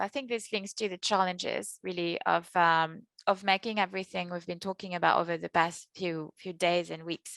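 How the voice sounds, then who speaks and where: Against a quiet background, a woman speaks at a moderate pace in a bright, sharp tone. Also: dry, close sound with no echo. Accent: French. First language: French. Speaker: session moderator. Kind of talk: online panel moderation.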